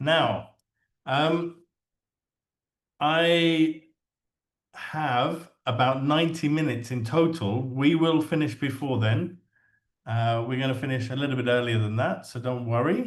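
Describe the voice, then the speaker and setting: With an English accent, a man talks at a medium pitch and a fairly slow pace, using ordinary pitch variation and long, frequent pauses. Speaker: English teacher trainer. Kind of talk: webinar presentation. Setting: online webinar.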